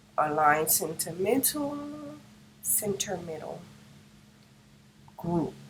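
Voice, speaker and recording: A woman with a fairly low pitch and lively intonation is heard through noticeable background noise and audible room echo. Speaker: craft tutorial creator. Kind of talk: tutorial. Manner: casual, step-by-step narration. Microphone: no microphone, built-in device mic.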